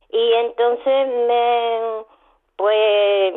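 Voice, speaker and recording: A woman speaks in a fairly high pitch. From Málaga, Andalusia. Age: 80s+. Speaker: radio caller. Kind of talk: testimony. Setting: phone call.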